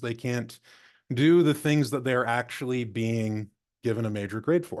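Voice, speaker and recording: A man speaks at a medium pitch with ordinary pitch variation. He has an ordinary speaking voice over a quiet background. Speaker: librarian, former physics teacher. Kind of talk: conference presentation. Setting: video call.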